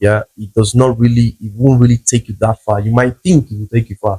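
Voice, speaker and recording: A man's somewhat breathy voice, dark and mellow in tone at a medium pitch, moves at a moderate pace with fairly even intonation and a dry, close sound with no echo. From South America, Brazil border city near Paraguay and Argentina. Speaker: travel content creator and language teacher. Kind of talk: interview.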